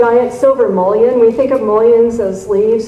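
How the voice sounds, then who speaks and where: There is audible room echo and noticeable background noise as a woman speaks with fairly even intonation. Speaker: garden writer and convention speaker. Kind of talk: lecture.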